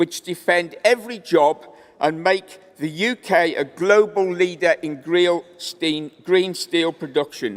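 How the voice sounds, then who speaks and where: A man with a Welsh accent, fairly slow, with ordinary pitch variation. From Wales. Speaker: trade union delegate. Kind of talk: conference speech.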